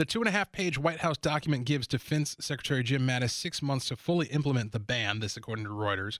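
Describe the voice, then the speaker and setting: Speaking at a very fast pace with hardly any pauses, a man with a medium pitch uses lively intonation in a dry, close recording with no echo. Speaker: radio host. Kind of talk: talk radio monologue, newsreading. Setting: radio studio. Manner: formal newsreader cadence, measured and steady reading headlines; opinionated, conversational, with hesitations.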